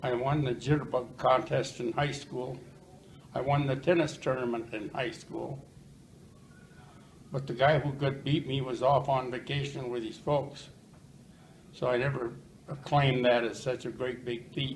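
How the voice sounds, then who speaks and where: With audible room echo, a man at a medium pitch speaks in a monotone, flat intonation, leaving long, frequent pauses. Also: moderate pace. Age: 80s+. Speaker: retired plumber. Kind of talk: interview. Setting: senior living residence. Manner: loud.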